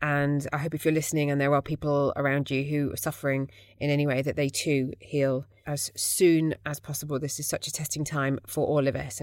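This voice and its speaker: A woman speaks at a fairly quick pace with a British accent. Her very deep, low voice stays monotone and flat. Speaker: podcast host. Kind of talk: casual interview. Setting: video call.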